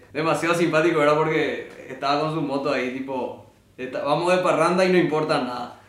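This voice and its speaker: A man's fairly high voice with ordinary pitch variation, amid noticeable background noise and audible room echo. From Paraguay. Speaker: podcast host, musician. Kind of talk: casual chat.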